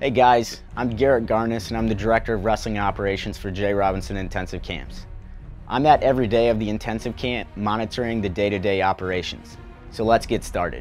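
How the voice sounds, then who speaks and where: Faint music plays behind a man with a fairly low voice. He talks very fast with fairly even intonation. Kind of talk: promotional explainer to camera. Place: studio.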